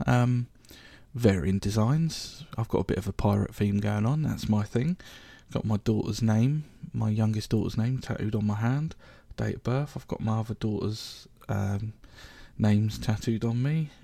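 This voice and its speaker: A man with a southern English accent speaks in a dark, mellow tone with ordinary pitch variation, on a very clean recording with a silent background. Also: fairly low pitch for a man, moderate pace. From southern England, Reading (Berkshire). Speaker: podcast host. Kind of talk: casual monologue. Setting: home recording. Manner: hesitant, many fillers.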